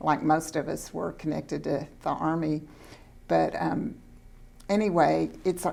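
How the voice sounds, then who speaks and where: A woman with a Texan accent speaks at a moderate pace in a very deep, low pitch. Her tone is dark and mellow, with fairly even intonation and vocal fry. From Central Texas. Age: 70s. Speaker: school board trustee. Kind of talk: interview.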